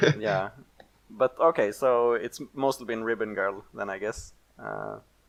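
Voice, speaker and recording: A man with a non-native accent talks at a fairly slow pace in a medium-pitched voice. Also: ordinary pitch variation. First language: not English. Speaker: podcast host. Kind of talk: casual chat. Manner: halting.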